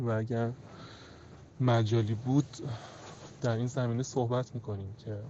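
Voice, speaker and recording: Somewhat breathy and fairly even in intonation, the voice moves at a fairly slow pace with long, frequent pauses. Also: man, medium pitch for a man. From Iran, Tehran. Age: 30s. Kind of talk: personal testimony.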